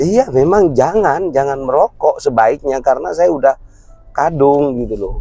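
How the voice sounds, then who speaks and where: This man talks with a fairly high pitch and lively intonation at a moderate pace. Music plays in the background. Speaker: vlogger. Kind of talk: casual chat.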